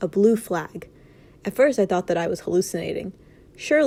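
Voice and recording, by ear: The text is read aloud in a natural voice, the intonation lively throughout.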